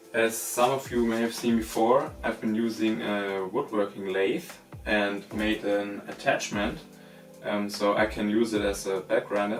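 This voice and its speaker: The intonation holds fairly even. Behind it, music plays. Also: man, fairly low pitch for a man, fairly slow pace. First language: not English. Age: 20s. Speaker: knifemaker. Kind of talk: workshop tutorial talk to camera.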